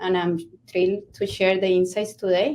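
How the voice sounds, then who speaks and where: At a moderate pace, a woman speaks with a Colombian accent and a medium pitch. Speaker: network solutions architect. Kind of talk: panel discussion. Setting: online conference session.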